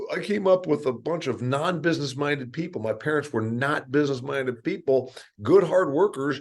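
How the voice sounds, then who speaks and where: This man has a plain, everyday voice with a fairly high pitch. He speaks at a moderate pace with lively intonation. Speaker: podcast host. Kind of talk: podcast interview questions.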